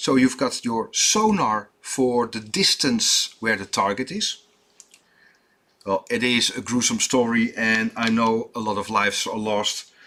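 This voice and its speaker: Speaking with a Dutch accent, the man keeps his intonation fairly even. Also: medium pitch for a man. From Netherlands. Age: 50s. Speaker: watchmaker. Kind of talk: tutorial. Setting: workshop. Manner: halting, many fillers.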